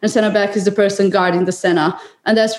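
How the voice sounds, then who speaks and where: A woman talks very fast with a Serbian accent. Her medium-pitched voice stays flat and monotone. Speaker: water polo player. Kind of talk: interview.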